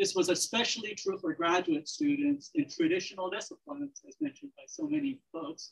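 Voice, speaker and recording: Over a quiet background, a woman's somewhat breathy voice moves through very wide pitch swings. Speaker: panel moderator, professor. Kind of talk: formal introductions at an academic symposium. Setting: stage with audience. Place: hall.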